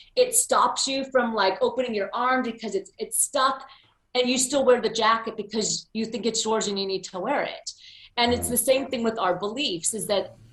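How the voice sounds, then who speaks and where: This woman has an American accent and a normal speaking voice, pitched fairly high, with ordinary pitch variation and a moderate pace. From US, Pennsylvania. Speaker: motivational speaker. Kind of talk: interview.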